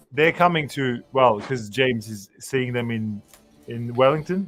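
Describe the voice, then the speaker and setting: Music plays in the background as a man talks at a moderate pace, his pitch medium and its variation ordinary. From France, small town. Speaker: record collector, stream participant. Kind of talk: casual chat.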